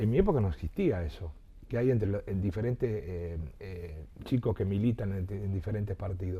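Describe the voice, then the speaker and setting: The voice is somewhat breathy, with a dark, mellow tone. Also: man, ordinary pitch variation, moderate pace. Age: 60s. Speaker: local politician and journalist. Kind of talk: interview. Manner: halting, many repetitions.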